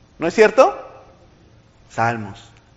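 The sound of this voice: Very wide pitch swings at a slow pace. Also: man, fairly high pitch for a man.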